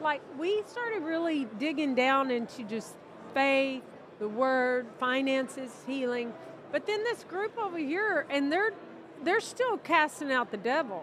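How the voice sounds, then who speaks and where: A woman's high-pitched voice with very wide pitch swings at a fairly slow pace, against noticeable background noise. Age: 60s. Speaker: minister. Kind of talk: casual interview conversation. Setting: convention interview.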